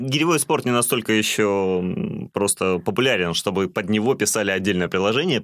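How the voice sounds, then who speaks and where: In a normal speaking voice, a man talks at a fairly quick pace with hardly any pauses, fairly low in pitch with lively intonation, on a very clean recording with a silent background. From Russian North (reindeer herding region). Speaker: podcast co-host. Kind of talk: casual chat.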